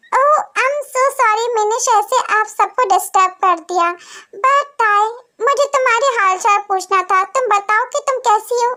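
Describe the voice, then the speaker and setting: A put-on character voice speaks at a moderate pace with ordinary pitch variation. Its loudness stays very even. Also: woman, extremely high pitch for a woman. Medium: audio drama. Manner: gentle, tactful.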